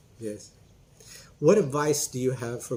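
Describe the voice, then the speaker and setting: A man talks at a moderate pace in a somewhat breathy, dark, mellow tone. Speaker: English teacher. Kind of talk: casual interview host talk.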